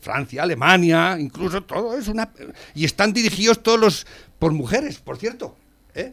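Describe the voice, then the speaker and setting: Lively in intonation, a man speaks at a moderate pace in a high pitch. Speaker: radio host. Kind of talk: casual chat.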